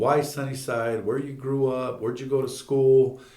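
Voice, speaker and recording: Audible room echo surrounds a man of medium pitch speaking at a moderate pace. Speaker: school superintendent and podcast host. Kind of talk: casual interview.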